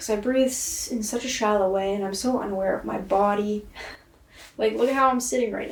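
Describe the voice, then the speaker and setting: A woman speaks at a medium pitch in a normal speaking voice, with fairly even intonation. Her loudness swings widely. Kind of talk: casual talk to camera, video-diary self-reflection. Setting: indoors, basement apartment. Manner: slow, reflective, contemplative.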